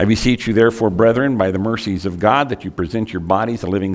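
A man at a very fast pace, against a quiet background. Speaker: preacher. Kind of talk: sermon. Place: church.

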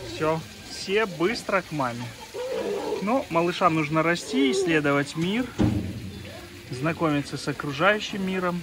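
Over faint background noise, a man with a fairly high pitch and a fairly bright tone speaks at a fairly slow pace with lively intonation and long, frequent pauses.

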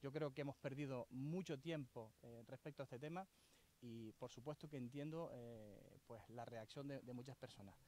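A dark, mellow tone at a moderate pace, with ordinary pitch variation and a dry sound with no echo. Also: man, medium pitch for a man. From Canary Islands. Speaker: local politician and island council candidate; local politician, council candidate. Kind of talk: press conference statement. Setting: outdoors at a construction site. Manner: hesitant, with fillers and repetitions. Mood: critical, earnest. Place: open country. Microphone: handheld.

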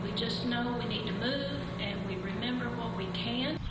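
A woman talks at a moderate pace. Loud background noise and audible room echo surround her. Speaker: line dance class leader. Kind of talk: interview answer. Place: hall.

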